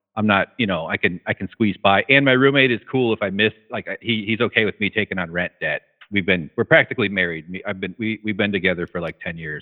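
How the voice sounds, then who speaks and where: The man has an unremarkable speaking voice pitched fairly low, with ordinary pitch variation. He moves at a fairly quick pace with hardly any pauses. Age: 40s. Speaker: caller. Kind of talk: casual chat.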